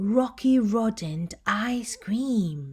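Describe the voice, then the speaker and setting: Putting on a character voice, a woman speaks with fairly high pitch and lively intonation. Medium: read story.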